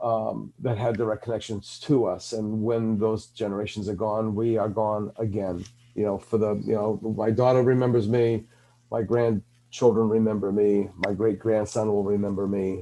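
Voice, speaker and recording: This man has a dark, mellow tone and a fairly low pitch, speaking at a moderate pace with monotone, flat intonation. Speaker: podcast host. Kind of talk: podcast interview. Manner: halting, many fillers.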